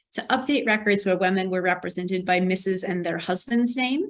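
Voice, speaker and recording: This woman has an unremarkable speaking voice with ordinary pitch variation. Her pitch sits in the medium range. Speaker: archivist, library manuscripts section head. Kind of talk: conference presentation.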